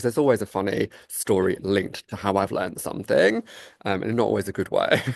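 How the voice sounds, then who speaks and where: The recording is dry and close, with no echo. In it, a man talks very fast. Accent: London. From England, London. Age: 30s. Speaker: salon owner and author. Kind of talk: interview conversation.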